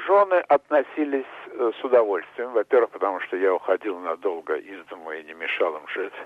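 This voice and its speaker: His volume rises and falls in big swings. The man keeps a moderate speed. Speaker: businessman and screenwriter. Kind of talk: interview.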